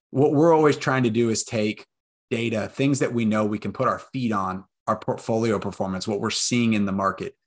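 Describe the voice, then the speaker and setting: A man with an American accent and a normal speaking voice talks at a medium pitch and a fairly quick pace, with ordinary pitch variation, on a very clean recording with a silent background. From Texas, Austin. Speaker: real estate investor. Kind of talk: interview.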